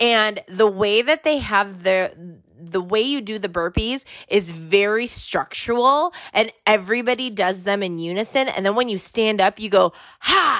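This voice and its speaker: Her tone is animated, and her pitch is fairly high with ordinary variation. The woman speaks at a fairly slow pace. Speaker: podcast host. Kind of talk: casual chat. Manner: loud, animated.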